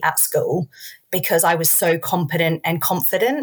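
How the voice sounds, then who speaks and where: The speaker sounds somewhat breathy, with an Australian accent. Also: woman. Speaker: early years sports entrepreneur and athlete. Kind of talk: educational interview.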